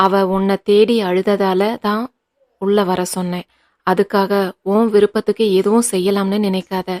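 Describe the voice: The clip is plain reading aloud, heard over a quiet background.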